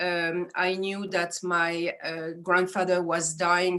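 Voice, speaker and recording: A woman with a French accent speaks in a monotone, flat intonation. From France, Strasbourg area. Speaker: astrologer. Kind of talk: interview.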